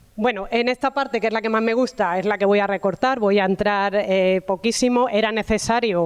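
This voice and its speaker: A woman speaks in a southern Spanish accent at a medium pitch. Her pace is fairly quick and her pitch variation ordinary. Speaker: university professor of food sociology. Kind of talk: talk at a round table.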